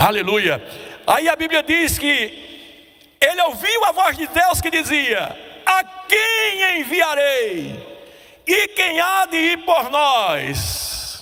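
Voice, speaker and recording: A man uses a raised, projected voice with an extremely high pitch and lively intonation. He moves at a very slow pace with long, frequent pauses. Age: 70s. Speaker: preacher. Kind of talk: sermon.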